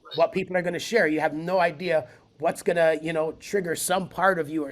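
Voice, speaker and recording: A man with an ordinary speaking voice talks at a fairly high pitch with fairly even intonation on a very clean recording with a silent background. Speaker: spoken word poet and event founder. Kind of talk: podcast interview answer.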